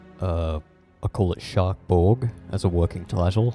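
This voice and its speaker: Music plays in the background. A man speaks with very deep, low pitch. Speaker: digital artist. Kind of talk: casual voice-over commentary on painting timelapse. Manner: rambling, hesitant, self-deprecating.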